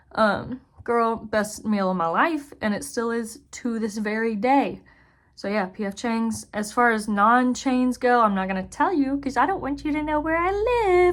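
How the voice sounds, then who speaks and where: A woman speaks in a normal speaking voice, her fairly high pitch carried by lively intonation. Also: fairly slow pace. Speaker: zookeeper and video creator. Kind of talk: casual chat.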